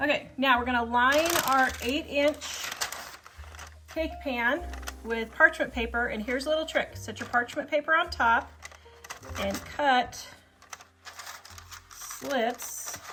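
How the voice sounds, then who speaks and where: A woman with an American accent uses a raised, projected voice, high in pitch, at a very slow pace with long, frequent pauses. Her intonation stays fairly even against noticeable background noise. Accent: Kansas hillbilly. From Kansas. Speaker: cooking video host. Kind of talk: cooking tutorial. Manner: casual, chatty.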